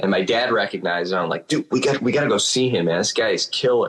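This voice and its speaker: The speaker is a man. He talks with a Chicago accent. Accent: Chicago accent, sounds almost Italian. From Chicago, US. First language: Spanish. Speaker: drummer. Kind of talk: casual chat.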